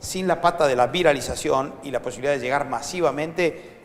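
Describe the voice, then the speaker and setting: Speaking in a Rioplatense accent, a man talks at a fairly quick pace with a fairly high pitch. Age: 60s. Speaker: foundation director and educator. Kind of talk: interview. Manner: animated.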